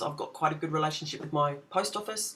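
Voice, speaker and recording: Talking very fast, a woman lets her pitch vary in an ordinary way. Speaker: legal self-help video presenter. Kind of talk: tutorial. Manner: hesitant with fillers.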